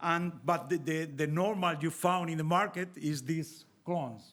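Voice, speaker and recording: In a Spanish accent, a man with a fairly high pitch speaks at a very slow pace with fairly even intonation, in a very clean recording with a silent background. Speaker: winemaker and viticulture expert. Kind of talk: panel presentation. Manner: halting.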